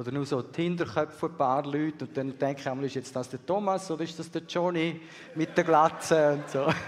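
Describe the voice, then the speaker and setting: In an ordinary speaking voice, a man talks at a fairly quick pace with a fairly high pitch. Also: fairly even intonation. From Swiss, raised partly in Peru and Bolivia. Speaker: missionary. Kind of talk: sermon.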